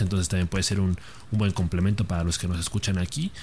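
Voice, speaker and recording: Over noticeable background noise, a man talks in a very deep, low voice. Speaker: co-host. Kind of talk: casual chat. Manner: informal, laughing, joking.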